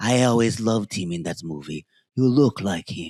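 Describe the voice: A man's put-on character voice in a strong Greek accent, fairly low in pitch, at a moderate pace on a very clean recording with a silent background. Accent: thick Greek.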